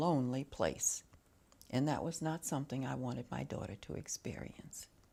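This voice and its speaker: A woman's very deep, low voice with vocal fry and an American accent, on a very clean recording with a silent background. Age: 80s+. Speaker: entrepreneur, bookstore owner. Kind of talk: interview.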